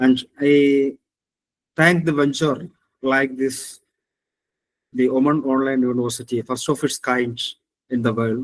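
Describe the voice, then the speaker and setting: Man speaking at a fairly slow pace in a monotone, flat intonation, with long, frequent pauses. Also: medium pitch for a man. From Kerala, southern India. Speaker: engineering professor. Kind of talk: webinar lecture. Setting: online webinar. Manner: halting, many fillers.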